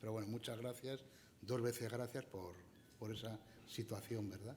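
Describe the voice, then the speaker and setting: Soft-spoken and at a medium pitch, a man talks with fairly even intonation amid audible room echo. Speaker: event moderator introducing a speaker. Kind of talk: speaker introduction at a conference.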